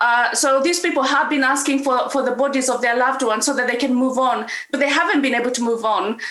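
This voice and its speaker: In a room with audible echo and noticeable background noise, a woman talks in a high pitch with ordinary pitch variation. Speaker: author and comedian. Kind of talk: panel talk. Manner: halting.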